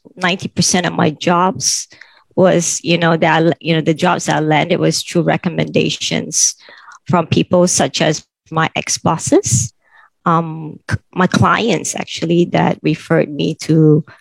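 The voice comes at a very slow pace with vocal fry and fairly even intonation, in a dry, close sound with no echo. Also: woman. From Thailand, Bangkok. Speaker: bank sales head. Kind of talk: panel discussion. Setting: video call webinar.

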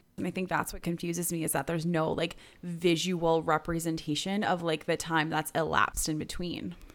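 Speaking at a moderate pace, a woman has a normal speaking voice with a fairly low pitch. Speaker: podcast host. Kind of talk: casual chat.

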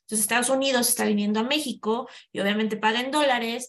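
A normal speaking voice from a woman, fairly high in pitch, at a moderate pace. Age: 40s. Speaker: human resources specialist. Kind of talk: interview conversation.

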